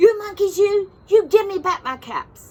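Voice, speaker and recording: At a moderate pace, a put-on character voice is performed. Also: woman. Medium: read story.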